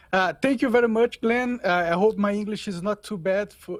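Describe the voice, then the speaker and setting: With a Portuguese accent, a man speaks at a moderate pace and with ordinary pitch variation. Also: very clean recording, silent background. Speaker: podcaster. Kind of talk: interview. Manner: halting.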